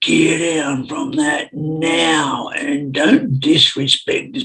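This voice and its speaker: A man puts on a booming character voice, fairly high in pitch. He delivers it at a very slow pace. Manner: stern, angry, reprimanding.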